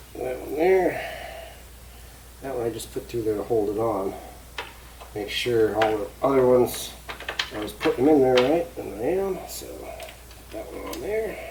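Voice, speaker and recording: The speech is mumbled, broken by long, frequent pauses. Noticeable background noise runs underneath. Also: moderate pace. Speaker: DIY hobbyist filming an assembly. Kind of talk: casual assembly tutorial. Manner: mumbling, talking to himself.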